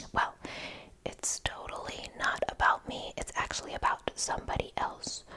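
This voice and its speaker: A woman whispering with noticeable background noise. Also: moderate pace. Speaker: ASMR creator. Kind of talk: ASMR gossip role play. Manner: whispered.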